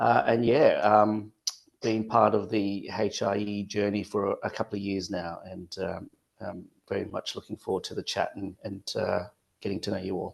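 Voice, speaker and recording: A man with an Australian accent speaks at a moderate pace and a fairly low pitch. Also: fairly even intonation. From Western Australia. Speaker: father, peer support mentor. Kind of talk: panel discussion.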